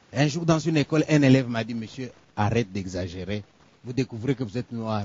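A somewhat breathy man at a fairly quick pace, with ordinary pitch variation and a dry sound with no echo. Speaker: storyteller performer. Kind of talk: theatrical monologue storytelling. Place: stage.

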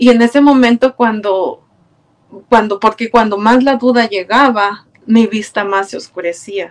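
A woman speaks with a Mexican accent in a fairly high voice. Her pace is fairly slow and her intonation fairly even. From Mexico, Puebla. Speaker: churchgoer, choir member. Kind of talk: testimony. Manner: halting. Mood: warm, grateful, reflective. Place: home room. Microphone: webcam.

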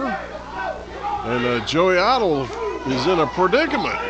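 Heavy background noise fills the recording as the speech moves at a very slow pace. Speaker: wrestling commentator. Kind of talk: live commentary. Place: hall.

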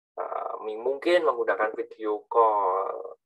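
A man is heard speaking over a quiet background. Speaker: university lecturer. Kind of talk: lecture. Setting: video call. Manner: halting. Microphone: video call.

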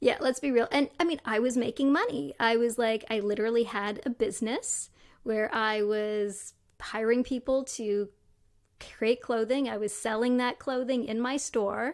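Against a quiet background, a woman with a Canadian accent speaks at a fairly high pitch and a moderate pace with ordinary pitch variation. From Canada, Toronto. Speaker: neuroscientist and tech entrepreneur. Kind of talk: interview conversation. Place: home room. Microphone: studio mic.

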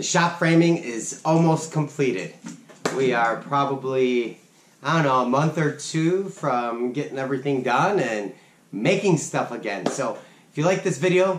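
Audible room echo and light background noise around a man's speech. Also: moderate pace. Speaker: DIY channel host. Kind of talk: casual vlog outro. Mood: relaxed, thankful. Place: workshop.

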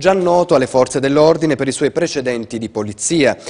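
Speech comes at a very fast pace with ordinary pitch variation against a quiet background. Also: man. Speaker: news anchor. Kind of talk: news reading. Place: studio.

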